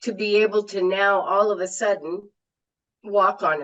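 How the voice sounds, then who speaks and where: An ordinary speaking voice unfolds at a fairly slow pace. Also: woman. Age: 60s. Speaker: health product distributor. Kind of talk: casual interview.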